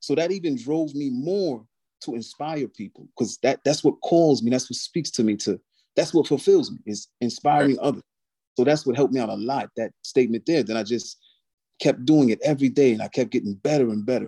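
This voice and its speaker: A man speaks fairly quickly in an American accent, fairly high-pitched, with a dark, mellow tone and ordinary pitch variation. The sound is dry and close with no echo, on a very clean recording with a silent background. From US Northeast, Albany New York. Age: 30s. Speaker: motivational speaker and calisthenics athlete. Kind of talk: casual interview chat.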